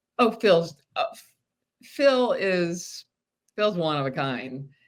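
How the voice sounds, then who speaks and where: At a very slow pace, a woman with a fairly low voice speaks with very wide pitch swings. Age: 60s. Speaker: reality show contestant. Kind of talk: casual interview.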